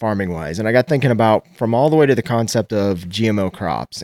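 With an American accent and lively intonation, a man is heard in a very clean recording with a silent background and a dry, close sound with no echo. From Nebraska. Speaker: farmer. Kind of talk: interview.

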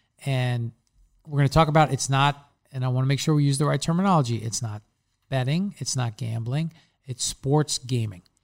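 With a Long Island accent, a man speaks at a fairly quick pace in a medium pitch, somewhat breathy, in a dry, close sound with no echo. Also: ordinary pitch variation. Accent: Long Island New York. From Long Island, New York. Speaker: football analyst and podcast host. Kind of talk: casual sports chat and analysis.

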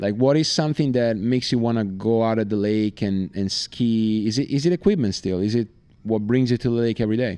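A man with an Italian accent, medium pitch, a dark, mellow tone, a fairly quick pace and ordinary pitch variation, against a quiet background. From Italy. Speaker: podcast host and water skier. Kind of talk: podcast intro monologue; interview. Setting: at a lakeside tournament.

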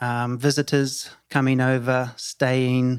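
A man's medium-pitched voice with a New Zealand accent, at a very slow pace. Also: very clean recording, silent background. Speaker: hotel company CEO. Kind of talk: interview conversation. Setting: on location in Tulum. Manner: hesitant, many fillers and repeats.

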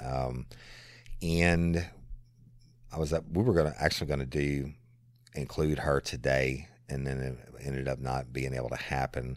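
In a South Louisiana accent, a man with a very deep, low voice talks at a moderate pace with fairly even intonation. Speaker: podcast host, former police officer. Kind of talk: casual Q&A monologue.

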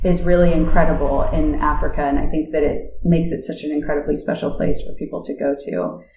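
A woman with an American accent talks at a very fast pace with hardly any pauses. The recording has noticeable background noise and audible room echo. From United States. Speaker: nonprofit technology executive. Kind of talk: interview conversation.

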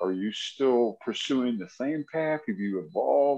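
A man with a plain, everyday voice and medium pitch talks at a fairly slow pace. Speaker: podcast co-host. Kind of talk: casual interview chat.

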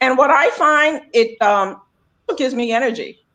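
A woman speaks in a plain, everyday voice at a moderate pace. Her pitch varies in the ordinary way. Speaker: health coach. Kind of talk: casual chat. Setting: video call.

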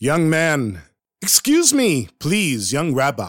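A man's put-on character voice, fairly high in pitch, very slow, with very wide pitch swings. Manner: commanding, authoritative.

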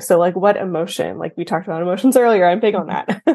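A woman in a plain, everyday voice, at a fairly quick pace with ordinary pitch variation, against a quiet background. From Texas. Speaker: accountant. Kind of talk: interview.

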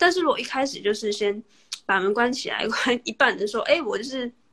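Here a woman talks at a fairly quick pace. Her pitch sits fairly high. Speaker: podcaster interviewing the host. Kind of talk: casual interview chat. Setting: Instagram livestream.

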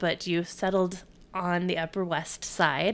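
In a very clean recording with a silent background, a woman with an unremarkable speaking voice and medium pitch talks at a fairly slow pace. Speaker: podcast host. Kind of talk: casual interview chat.

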